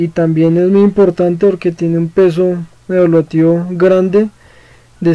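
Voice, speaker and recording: Speaking at a fairly slow pace, a man with a high pitch keeps a monotone, flat intonation. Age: 20s. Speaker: student. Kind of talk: course presentation. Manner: halting, with fillers.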